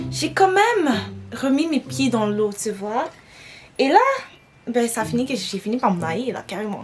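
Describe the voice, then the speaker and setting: Music plays behind a woman with a Quebec accent who speaks at a moderate pace. Her tone is animated and her pitch swings very widely. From Quebec, Montreal. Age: 20s. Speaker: beauty vlogger. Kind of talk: casual chat while doing makeup. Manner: French-English code-switching.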